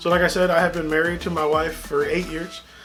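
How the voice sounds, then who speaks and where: A man talks at a fairly quick pace with an American accent. Background noise is noticeable. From South Texas (Kingsville). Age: 30s. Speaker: middle school science teacher. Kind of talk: casual intro video to students. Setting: home office studio. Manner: casual, many fillers.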